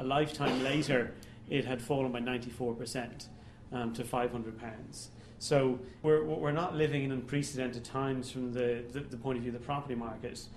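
A man speaks in an Irish accent at a moderate pace, his intonation fairly even. The room echoes audibly, with light background noise. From Ireland. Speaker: economist giving a public talk. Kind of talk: lecture. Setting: stage with audience. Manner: halting. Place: hall.

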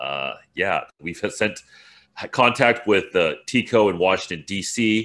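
Vocal fry runs through a man's bright, sharp tone as he speaks fairly slowly at a fairly low pitch. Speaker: interview guest. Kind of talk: interview answer. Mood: relaxed, lightly amused. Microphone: video call.

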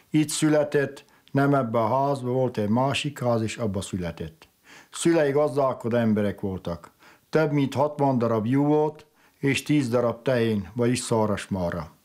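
On a very clean recording with a silent background, a man with a plain, everyday voice talks fairly slowly at a medium pitch, with ordinary pitch variation. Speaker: relative of the bishop. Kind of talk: documentary interview.

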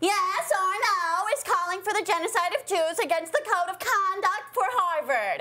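This put-on character voice is whiny, with a whiny tone and extremely high pitch. It moves at a moderate pace with hardly any pauses.

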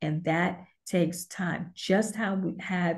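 Somewhat breathy and dark, mellow in tone, a woman with an American accent speaks at a fairly low pitch with fairly even intonation against a quiet background. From Brooklyn, New York; New York. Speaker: author and women's advocate; interview guest. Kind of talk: interview. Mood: earnest, reflective. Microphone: video call.

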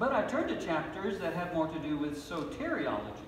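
There is audible room echo and light background noise as a man speaks with a high pitch. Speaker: pastor. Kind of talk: sermon. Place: church. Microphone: podium.

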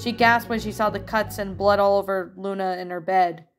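Intonation stays fairly even as someone reads in an unforced voice.

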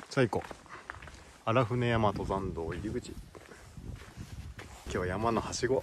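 A man speaks fairly slowly at a medium pitch with ordinary pitch variation and long, frequent pauses, in a dry sound with no echo and noticeable background noise. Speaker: hiking vlogger. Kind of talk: casual conversation while hiking. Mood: relaxed, cheerful. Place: forest. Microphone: phone near.

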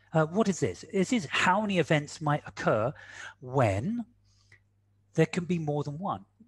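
A man with a fairly high pitch speaks at a fairly slow pace, with very wide pitch swings. Long, frequent pauses break up his speech over a quiet background. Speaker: quantitative risk analyst and speaker; quantitative risk analyst, speaker. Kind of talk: webinar presentation. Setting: video call. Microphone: video call.

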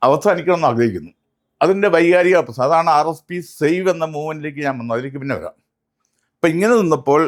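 This man has an ordinary speaking voice with lively intonation. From Kerala, Kannur. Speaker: politician. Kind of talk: interview.

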